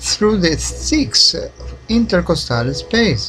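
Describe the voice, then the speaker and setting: A man speaks at a very slow pace with a non-native accent. Noticeable background noise is present. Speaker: independent researcher. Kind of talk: documentary narration.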